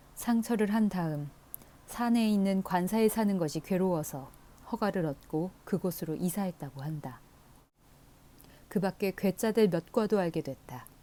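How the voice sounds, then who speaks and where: A woman's medium-pitched voice with a dark, mellow tone, lively intonation, and long, frequent pauses. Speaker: audiobook reader. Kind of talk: audiobook reading of a classic novel. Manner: soft, calm, ASMR-style reading.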